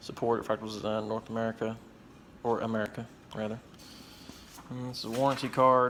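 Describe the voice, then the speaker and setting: A man with a Southwest Virginia accent talks at a medium pitch and a fairly quick pace. His intonation is monotone and flat, with long, frequent pauses. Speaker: tech hobbyist youtuber. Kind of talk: product review. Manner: casual, hesitant with fillers.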